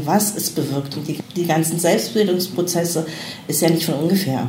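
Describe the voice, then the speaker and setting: Lively intonation marks a woman with a fairly low voice. Noticeable background noise and audible room echo fill the recording. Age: 40s. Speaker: mature student and mother. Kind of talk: interview.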